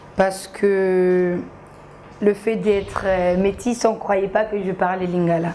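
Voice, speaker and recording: Noticeable background noise sits under this recording. A woman speaks very slowly in a monotone, flat intonation. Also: medium pitch for a woman. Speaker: social media comedian. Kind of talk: TV interview.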